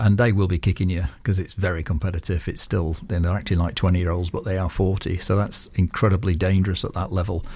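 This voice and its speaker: Very fast and very deep, this man's voice has a dark, mellow tone, a somewhat breathy quality and fairly even intonation. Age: 60s. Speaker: sports group founder. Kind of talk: radio interview. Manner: hesitant, many fillers.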